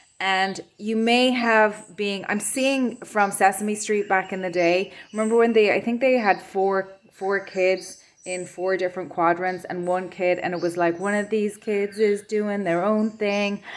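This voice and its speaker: A woman's medium-pitched voice in a western Irish accent, fairly slow with hardly any pauses and fairly even intonation, over noticeable background noise. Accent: Irish (west of Ireland). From west of Ireland. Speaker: tarot reader. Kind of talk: pick-a-card tarot reading. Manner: hesitant, many fillers and repeats.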